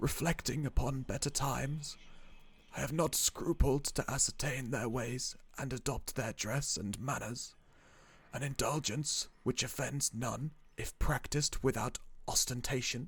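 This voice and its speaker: Using a put-on character voice, a man speaks soft-spoken and shaky at a medium pitch. His pace is moderate and his intonation fairly even. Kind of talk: horror narration. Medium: read story. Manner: archaic, formal.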